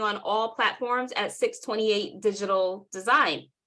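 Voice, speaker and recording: Against a quiet background, a woman with a New York accent talks at a fairly slow pace, her fairly high pitch carrying a bright, sharp tone and fairly even intonation. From New York City (Southside Jamaica, Queens). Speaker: workshop presenter and marketing agency owner. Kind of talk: webinar workshop presentation. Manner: casual, conversational.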